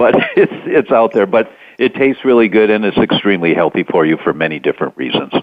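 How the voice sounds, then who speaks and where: Very fast and with lively intonation, a man with a fairly low pitch keeps his loudness very even. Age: 60s. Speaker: doctor and health author. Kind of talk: interview. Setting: internet talk radio.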